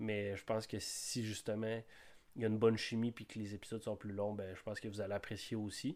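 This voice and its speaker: A man with a fairly low pitch talks at a fairly quick pace in a monotone, flat intonation. The recording is very clean with a silent background. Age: 20s. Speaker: podcast host, forestry technician. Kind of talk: podcast monologue. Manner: halting, many hesitations.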